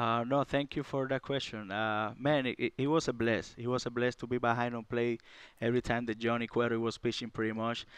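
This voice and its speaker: Against a quiet background, a man with a Cuban accent talks at a fairly quick pace and medium pitch in a monotone, flat way. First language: Spanish. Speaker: baseball catcher. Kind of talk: casual interview. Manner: halting, filler-heavy.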